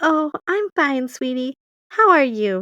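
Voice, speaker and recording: A woman performs a put-on character voice, high-pitched with very wide pitch swings, at a fairly slow pace. The sound is dry and close with no echo. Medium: read story. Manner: sweet, calls people sweetie.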